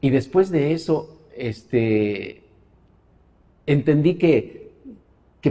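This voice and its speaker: This man speaks in a dark, mellow tone with lively intonation. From Mexico City. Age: 60s. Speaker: religious convert. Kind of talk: interview testimony. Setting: studio. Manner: hesitant, many fillers.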